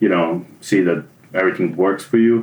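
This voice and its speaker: A man speaks with a Serbian accent. His pace is fairly quick. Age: 30s. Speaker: junior web developer, former theatre automation technician. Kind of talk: interview.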